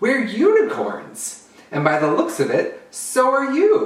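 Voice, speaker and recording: A put-on character voice, pitched high and delivered at a fairly slow pace, with a slight echo. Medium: read story. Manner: cheerful, welcoming.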